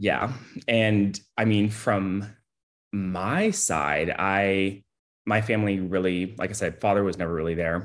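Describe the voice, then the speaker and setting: A man with an unremarkable speaking voice talks fairly slowly at a fairly low pitch, with fairly even intonation. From Texas, Houston. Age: 30s. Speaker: podcast guest. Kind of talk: casual chat. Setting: video call.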